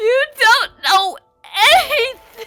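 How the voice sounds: A woman uses a put-on character voice at an extremely high pitch, speaking slowly with a bright, sharp tone and ordinary pitch variation while faint music plays in the background.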